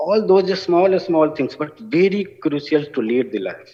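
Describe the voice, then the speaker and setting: A man with a high voice and a strong Bihari accent talks at a very slow pace. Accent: heavy Bihari. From India, Bihar (village). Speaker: award recipient, business school alumnus working with farmers. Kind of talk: award acceptance speech.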